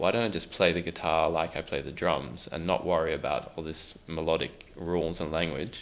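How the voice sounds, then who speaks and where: Here a man talks at a fairly quick pace with an Australian accent. His very deep, low voice carries vocal fry. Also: fairly even intonation. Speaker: musician. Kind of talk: interview. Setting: podcast recording in a youth center.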